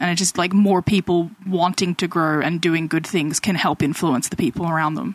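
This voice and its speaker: In a plain, everyday voice, a woman speaks at a moderate pace and fairly low pitch with fairly even intonation and hardly any pauses, the sound dry and close with no echo. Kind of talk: casual chat.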